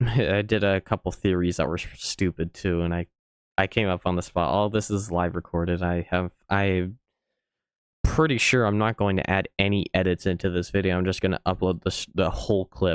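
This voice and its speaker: A man with a very deep, low pitch speaks with fairly even intonation, in a dry, close sound with no echo and a very clean recording with a silent background. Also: moderate pace. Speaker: YouTube reaction creator. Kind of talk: casual reaction commentary. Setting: home recording, live recorded. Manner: low and monotone; halting, many fillers.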